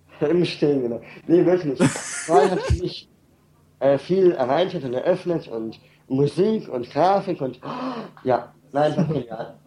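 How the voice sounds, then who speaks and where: A fairly high-pitched man speaks at a fairly slow pace with ordinary pitch variation and long, frequent pauses. Noticeable background noise runs throughout. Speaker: caller. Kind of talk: casual chat. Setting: internet call.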